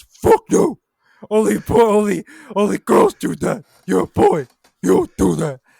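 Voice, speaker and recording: A man puts on a character voice and talks at a moderate pace, stopping often for long pauses. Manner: stern, scolding.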